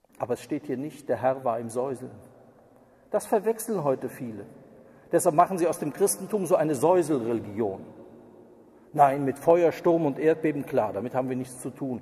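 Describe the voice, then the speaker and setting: Fairly high-pitched for a man yet dark and mellow in tone, he speaks at a moderate pace with lively intonation and long, frequent pauses. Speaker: preacher. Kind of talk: sermon. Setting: church. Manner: formal, earnest, lecturing with pointed criticism.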